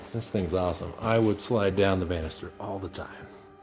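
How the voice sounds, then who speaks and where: A man's fairly low-pitched voice comes through with music in the background. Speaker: paranormal investigator. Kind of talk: walkthrough vlog narration. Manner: animated.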